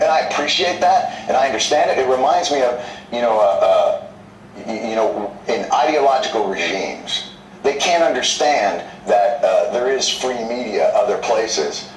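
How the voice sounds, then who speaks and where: Music plays in the background. Room echo is audible. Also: man, moderate pace. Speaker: guest comedian on a news interview. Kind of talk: interview answer. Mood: earnest, mildly argumentative. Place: studio.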